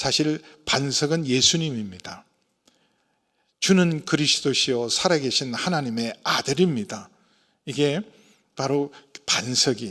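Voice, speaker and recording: On a very clean recording with a silent background, a man speaks fairly slowly with very wide pitch swings. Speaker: senior pastor. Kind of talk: sermon.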